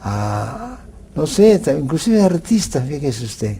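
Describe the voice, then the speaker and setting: Noticeable background noise runs under a man's voice. He speaks fairly slowly at a fairly high pitch. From Peru, Lima. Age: 80s+. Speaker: legal expert interviewed on TV. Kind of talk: TV interview. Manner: halting, many fillers and restarts.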